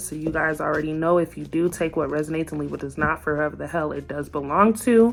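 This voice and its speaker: Noticeable background noise is present. The talking goes at a fairly quick clip. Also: woman. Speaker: tarot reader. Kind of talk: tarot reading monologue. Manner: gets loud when excited; starts calm and low.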